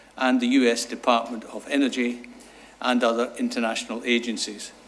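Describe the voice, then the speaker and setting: Audible room echo surrounds a man speaking at a medium pitch with a Scottish accent. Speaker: sustainable energy consultant. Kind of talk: conference talk. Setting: seminar with audience.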